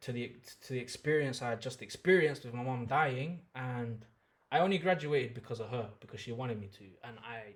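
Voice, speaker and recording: A man's somewhat breathy, medium-pitched voice at a fairly quick pace, with ordinary pitch variation and big swings in loudness. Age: 30s. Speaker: musician. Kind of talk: podcast interview.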